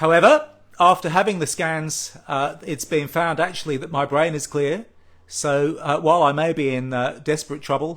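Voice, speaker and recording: A man with an Australian accent, fairly high-pitched, with ordinary pitch variation at a moderate pace. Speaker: patient advocacy group president. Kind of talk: live social media address. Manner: halting.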